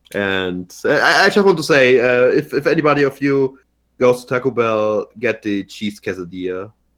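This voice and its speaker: Lively intonation marks this man's speech, delivered at a medium pitch. He talks at a moderate pace with a German accent. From Germany. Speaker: podcast co-host. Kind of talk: casual chat. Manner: halting, repeats words.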